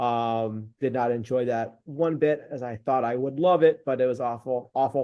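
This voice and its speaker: A man with an American accent and a normal speaking voice, medium pitch and moderate pace, with hardly any pauses. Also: fairly even intonation. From California. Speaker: business growth consultant. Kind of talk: casual business call introduction.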